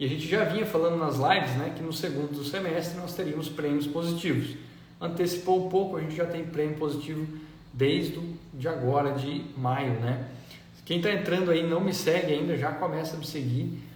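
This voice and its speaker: Fairly even intonation from a man with a fairly high pitch at a moderate pace, amid noticeable background noise and audible room echo. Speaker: agronomist and agricultural market educator. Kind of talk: live stream market talk. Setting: Instagram live.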